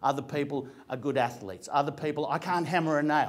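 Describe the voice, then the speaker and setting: With an Australian accent, the speaker talks at a moderate pace in an animated tone. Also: man. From Australia, Greek family. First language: Greek. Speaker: actor and comedian. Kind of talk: motivational talk to an audience. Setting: room with audience. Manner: conversational, animated.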